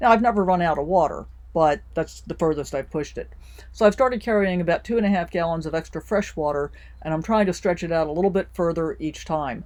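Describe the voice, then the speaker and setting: A woman with an American accent speaks at a very fast pace with a fairly low pitch and ordinary pitch variation. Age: 60s. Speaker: RV lifestyle vlogger. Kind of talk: tutorial. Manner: casual, friendly.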